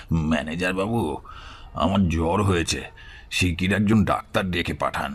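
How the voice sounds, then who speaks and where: Putting on a character voice, a man speaks at a moderate pace with a very deep, low pitch, a raspy sound, fairly even intonation and very even loudness. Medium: audio drama.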